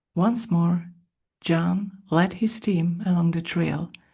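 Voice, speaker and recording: A soft-spoken woman with a fairly low pitch, a somewhat breathy, dark, mellow tone and a calm delivery. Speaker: podcast host and audiobook-style reader. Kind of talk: ASMR soft-spoken book reading. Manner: soft-spoken, calm, slow.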